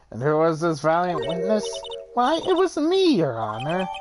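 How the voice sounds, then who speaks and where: Delivered at a moderate pace, this is a put-on character voice. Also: woman, very deep, low pitch for a woman. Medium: game stream. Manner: hesitant, stammering.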